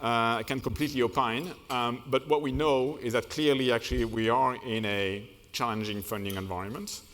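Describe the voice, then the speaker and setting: A man's medium-pitched voice with a French accent, at a moderate pace, with ordinary pitch variation and hardly any pauses. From France. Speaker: management consultant. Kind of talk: keynote speech. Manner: hesitant, many fillers.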